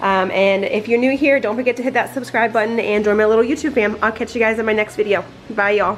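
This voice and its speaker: Over noticeable background noise, a woman with a fairly high pitch talks at a very fast pace with hardly any pauses and fairly even intonation. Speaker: lifestyle vlogger. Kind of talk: casual vlog narration. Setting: at home. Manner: casual, filler-heavy; quiet, hushed.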